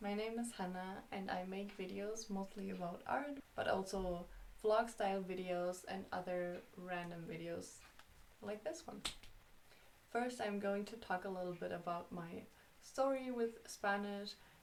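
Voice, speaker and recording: A woman speaks with a German accent at a fairly slow pace. Her pitch varies in an ordinary way, and room echo is audible. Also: medium pitch for a woman. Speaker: YouTuber. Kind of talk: vlog.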